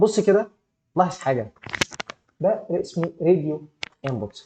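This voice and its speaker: A man with an Egyptian accent speaks at a moderate pace in a dark, mellow tone, at a fairly high pitch with very wide swings. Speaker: programming instructor. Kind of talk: live online class tutorial. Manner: animated, gets louder when excited; halting, many repeated fillers.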